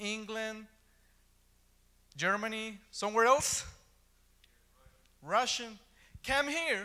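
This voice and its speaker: Projecting his raised voice at a very slow pace, a man with an Ecuadorian accent sounds high-pitched and bright and sharp in tone, with audible room echo around him. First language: Spanish. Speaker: preacher. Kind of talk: sermon. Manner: halting.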